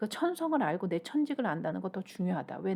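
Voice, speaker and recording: A woman's medium-pitched voice, dark and mellow in tone, with vocal fry. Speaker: shaman and career counselor. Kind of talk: YouTube talk on finding one's calling. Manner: halting, stumbles over pronunciation; conversational, informal.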